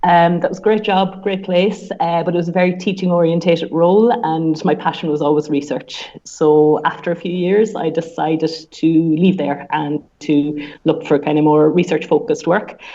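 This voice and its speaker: A woman speaks in an Irish accent with a fairly low pitch. Her pace is moderate and her intonation fairly even. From Ireland. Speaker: sports science researcher. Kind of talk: podcast interview. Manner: hesitant with fillers.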